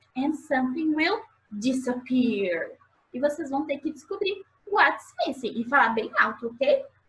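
The woman's pitch makes very wide swings. She talks fairly slowly. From Brazil. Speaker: preschool English teacher. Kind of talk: children's lesson video. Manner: animated. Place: home room. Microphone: webcam.

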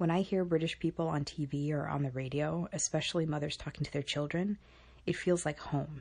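Very deep and low in pitch, a woman's voice comes through somewhat breathy against a quiet background. She keeps a fairly quick pace and fairly even intonation. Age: 30s. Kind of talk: personal digital story narration.

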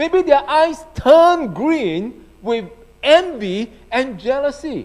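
A man's pitch swings very widely. The background is quiet. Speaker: pastor. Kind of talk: sermon. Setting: church. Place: church. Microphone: handheld.

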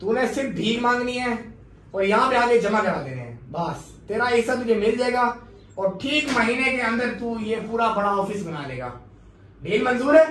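Speech comes at a fairly slow pace. There is light background noise and audible room echo. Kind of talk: comic skit dialogue. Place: meeting room. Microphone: camera far.

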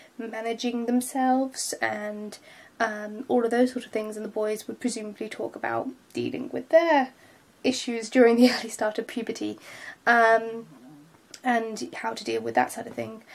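Speaking at a moderate speed, a woman talks in a British accent. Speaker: vlogger. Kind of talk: vlog monologue. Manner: hesitant, many filler words.

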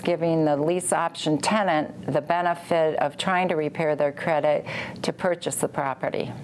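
In an American accent, a woman speaks at a moderate pace and a fairly low pitch. Her intonation stays fairly even over light background noise. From Indiana, US Midwest. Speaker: real estate investor, former personal chef. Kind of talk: testimonial interview. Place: home room.

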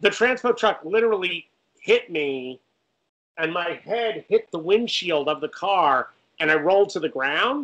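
Animated, fairly slow speech with lively intonation and an American accent. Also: man. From Connecticut, US Northeast. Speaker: film director and writer; guest. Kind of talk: casual interview. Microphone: video call.

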